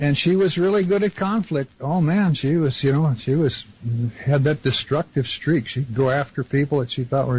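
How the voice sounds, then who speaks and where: A man speaking at a moderate pace, somewhat breathy and with ordinary pitch variation. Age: 70s. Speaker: caller. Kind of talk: phone-in conversation.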